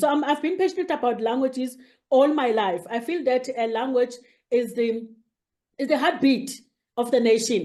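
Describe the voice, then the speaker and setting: A woman speaks with a South African accent. Her tone is dark and mellow. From South Africa, rural KwaZulu-Natal. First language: isiZulu. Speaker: academic, head of a university multilingualism unit. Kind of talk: interview. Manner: halting, many fillers.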